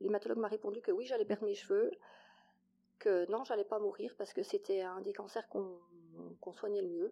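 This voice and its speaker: A woman at a fairly quick pace, with long, frequent pauses. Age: 40s. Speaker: mother sharing infertility story. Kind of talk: testimony.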